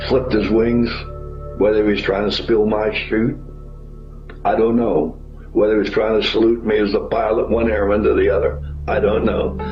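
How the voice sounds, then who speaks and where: With music playing in the background, a man with an American accent talks at a moderate pace and very even loudness, leaving long, frequent pauses. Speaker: war veteran. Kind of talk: oral history interview answer.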